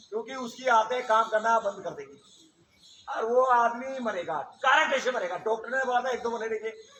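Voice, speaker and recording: A man uses a raised, projected voice at an extremely high pitch with ordinary pitch variation. Noticeable background noise runs underneath. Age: 60s. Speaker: yoga teacher. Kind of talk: yoga class instruction. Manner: animated; informal.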